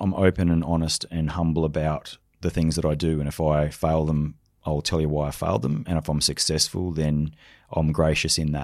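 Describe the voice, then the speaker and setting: On a very clean recording with a silent background, a man with an Australian accent speaks in a very deep, low pitch and flat, monotone intonation. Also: fairly quick pace. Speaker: leadership speaker and former special forces soldier. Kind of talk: interview conversation.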